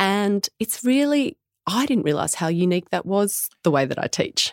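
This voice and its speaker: A woman with an Australian accent speaks with very wide pitch swings in a very clean recording with a silent background and a dry, close sound with no echo. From Australia, Tamworth NSW. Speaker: midwife and business founder. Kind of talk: interview.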